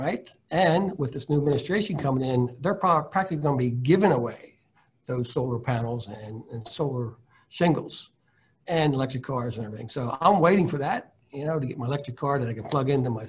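Somewhat breathy and at a fairly high pitch, a man talks at a fairly quick pace with ordinary pitch variation, big swings in loudness and long, frequent pauses. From Delaware, near New Castle; Delaware. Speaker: high school science teacher. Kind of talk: panel discussion. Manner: hesitant, with repeated words. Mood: hopeful, relaxed. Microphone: video call.

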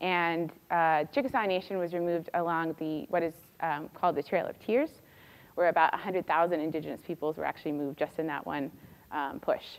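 A woman with an American accent talks at a fairly quick pace, her fairly low pitch showing ordinary variation. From California. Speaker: doctoral student; candidate. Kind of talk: lecture. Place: classroom.

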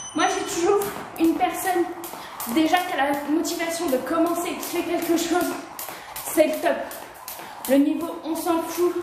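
Her voice is extremely high in pitch. Audible room echo and noticeable background noise surround the woman. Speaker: home fitness streamer. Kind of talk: casual live-stream chat during workout. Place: garage. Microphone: camera far.

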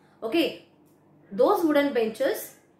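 Amid audible room echo, a woman with a high pitch speaks at a fairly slow pace. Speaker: teacher. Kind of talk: lecture. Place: home room. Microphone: phone near.

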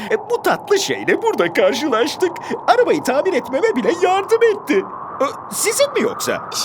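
A put-on character voice at a moderate pace over loud background noise. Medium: fan dub. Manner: boastful, upbeat.

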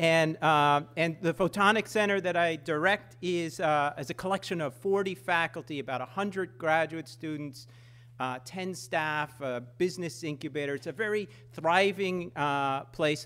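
Fairly slow and fairly high-pitched, a man speaks in a bright, sharp tone on a very clean recording with a silent background. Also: ordinary pitch variation. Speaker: engineering professor. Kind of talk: lecture with demonstrations. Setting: stage with audience.

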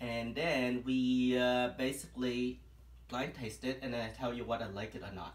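A man's voice is heard with audible room echo. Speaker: live show host. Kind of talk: casual live stream chat. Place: home room. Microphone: phone near.

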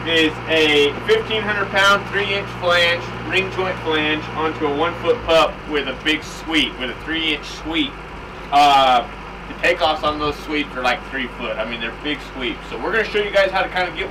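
There is noticeable background noise. A man talks at a fairly slow pace with ordinary pitch variation. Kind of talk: tutorial. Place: workshop.

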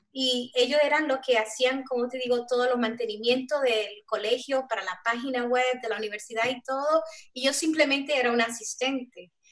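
A woman's high-pitched voice at a moderate pace, with fairly even intonation and hardly any pauses, over a quiet background. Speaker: software developer; panelist. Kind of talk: panel discussion. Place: home room. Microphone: video call.

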